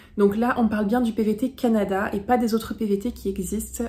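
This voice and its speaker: Amid noticeable background noise, a woman speaks at a fairly high pitch with monotone, flat intonation. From France. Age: 20s. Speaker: travel vlogger. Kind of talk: vlog tutorial. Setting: facecam video.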